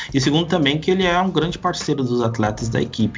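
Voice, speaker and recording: Very fast male speech over noticeable background noise. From Brazil. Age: 20s. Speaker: basketball podcaster and tech worker. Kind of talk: casual interview.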